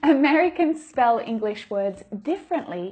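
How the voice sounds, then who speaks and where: Music plays in the background as a woman speaks at a fairly slow pace. Her high voice swings very widely in pitch. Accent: Australian. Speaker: English teacher. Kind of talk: tutorial.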